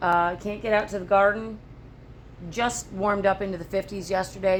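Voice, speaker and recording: Noticeable background noise fills the recording. Over it, a woman talks with fairly even intonation. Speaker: homesteader vlogger. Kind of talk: casual vlog. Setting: home homestead, tripod.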